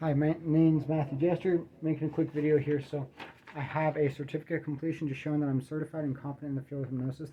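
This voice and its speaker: A man's fairly high voice at a very fast pace, monotone and flat, over noticeable background noise. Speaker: video blogger. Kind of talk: reading aloud from script. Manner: halting, stuttering.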